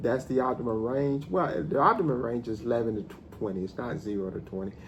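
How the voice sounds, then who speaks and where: A man's ordinary speaking voice at medium pitch, fairly quick in pace, with lively intonation. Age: 50s. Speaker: math professor. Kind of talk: casual talk to camera.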